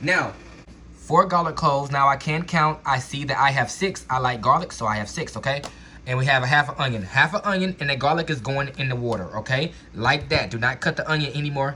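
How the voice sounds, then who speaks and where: This man's voice sits at a fairly high pitch, with ordinary pitch variation. He talks at a fairly quick pace over noticeable background noise. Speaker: home cook. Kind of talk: cooking tutorial. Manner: fast; casual, filler-heavy.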